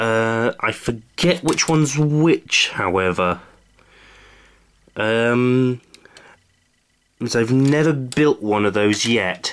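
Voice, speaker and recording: A man talks at a very slow pace with long, frequent pauses, his medium pitch moving with ordinary variation. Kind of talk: casual hobby unboxing talk.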